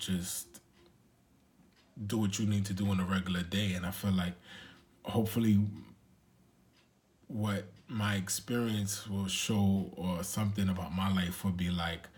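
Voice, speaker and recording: A somewhat breathy voice with a New York accent speaks at a fairly slow pace, with long, frequent pauses. The intonation is monotone and flat, and audible room echo surrounds it. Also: man. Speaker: vlogger. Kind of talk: casual vlog monologue. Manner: halting.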